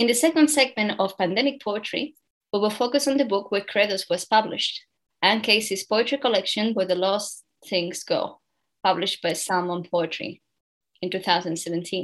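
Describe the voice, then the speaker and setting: Speaking at a moderate pace, a woman has a normal speaking voice with lively intonation. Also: medium pitch for a woman. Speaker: radio host. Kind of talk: radio interview.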